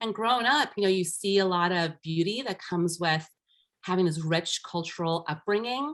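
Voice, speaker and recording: This woman's voice sits at a medium pitch with lively intonation. She talks at a moderate pace. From US, Armenian-Iranian immigrant family. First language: Armenian. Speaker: life empowerment coach. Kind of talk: podcast interview.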